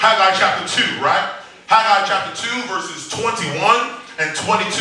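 With audible room echo and light background noise, a man speaks at a fairly slow pace in a high pitch with fairly even intonation. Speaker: preacher. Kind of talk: sermon. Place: church.

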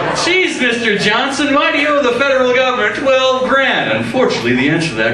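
A man at a very fast pace, with audible room echo and noticeable background noise. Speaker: stand-up comedian. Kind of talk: stand-up comedy routine. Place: stage. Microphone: handheld.

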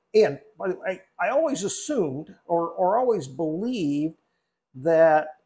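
The man's tone is dark and mellow. He talks at a fairly slow pace. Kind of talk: casual vlog chat. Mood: reflective, calm. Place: home room. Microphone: lapel.

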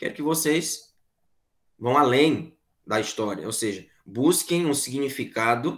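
A man with an unremarkable speaking voice talks at a fairly slow pace with ordinary pitch variation over a quiet background. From Piauí, Brazil (Corrente); Piauí, Brazil. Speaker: philosophy teacher; teacher. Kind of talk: online class lecture. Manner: conversational, repetitive filler tags. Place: home room. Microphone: webcam.

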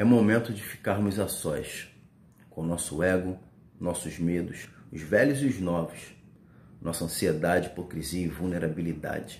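In a room with audible echo, a man with a very deep, low pitch and ordinary pitch variation speaks at a moderate pace in a solemn tone, with long, frequent pauses. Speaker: spoken word poet. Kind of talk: spoken word poetry, reflective pandemic-era verse. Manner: solemn, measured, meditative delivery with rhythmic pauses. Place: home room. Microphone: phone near.

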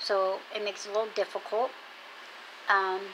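A woman's speech moves at a moderate pace against noticeable background noise. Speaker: home vlogger. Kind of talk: casual vlog chat. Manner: toothless speech, injured and in pain. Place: home room. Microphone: earbuds.

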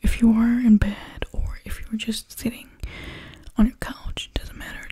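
Against a quiet background, a woman speaks at a moderate pace with big swings in loudness. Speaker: ASMR creator. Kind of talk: soft ASMR talk and chat. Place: home room. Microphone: studio mic.

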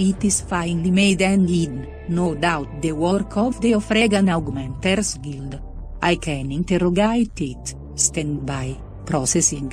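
A robotic, put-on character voice at a middle pitch moves at a fairly slow pace over clear music in the background. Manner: cold, precise, emotionless.

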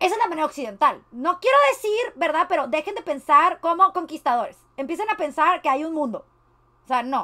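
A woman with a Mexican accent talks fairly quickly in a raised, projected, animated voice, her bright, sharp tone set extremely high and swinging very widely in pitch against a quiet background. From Mexico. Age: 20s. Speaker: streamer. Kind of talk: reaction commentary. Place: home room.

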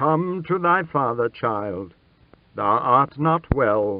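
A man uses a put-on character voice at a fairly high pitch with very wide pitch swings. He speaks at a very slow pace. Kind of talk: archaic, formal. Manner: gentle, paternal.

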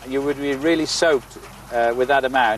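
A man with an English accent speaks at a very fast pace with ordinary pitch variation over light background noise. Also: dry sound with no echo. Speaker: farmer. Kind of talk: interview. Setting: outdoors. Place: farm machine.

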